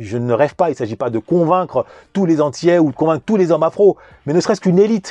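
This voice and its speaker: The voice has a dark, mellow tone and very wide pitch swings. The sound is dry and close with no echo, over a quiet background. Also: man. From Paris suburbs, France. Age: 40s. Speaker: YouTube commentator. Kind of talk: monologue commentary.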